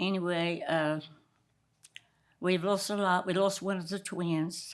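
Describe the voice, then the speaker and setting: A woman of medium pitch with an American accent speaks at a moderate pace in a monotone, flat intonation. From Down East North Carolina, island community. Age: 90s. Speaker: retired commercial fisherman. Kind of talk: interview storytelling. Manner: halting, with repeated fillers.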